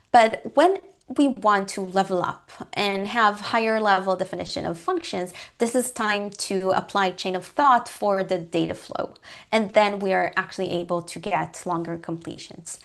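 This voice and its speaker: The woman speaks with a non-native accent at a moderate pace and medium pitch. Her pitch varies in an ordinary way, and the background is quiet. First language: not English. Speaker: guest lecturer on coding. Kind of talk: lecture. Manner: hesitant, many fillers.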